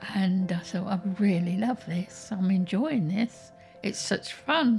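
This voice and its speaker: A woman with an English accent speaks at a very slow pace, with music playing behind her. Her intonation is lively. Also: medium pitch for a woman. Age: 80s+. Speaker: retired gamer. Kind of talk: documentary interview answer.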